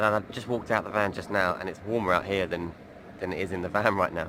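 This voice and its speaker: A man's very deep, low voice, quiet overall yet with big swings in loudness, very fast and monotone, flat. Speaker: van life vlogger. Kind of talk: casual video diary. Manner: quieter, keeping voice down.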